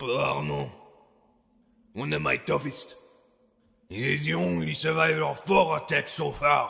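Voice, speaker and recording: A man speaks at a moderate pace in a put-on character voice with a medium pitch. He leaves long, frequent pauses. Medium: read story. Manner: gruff, curt, domineering.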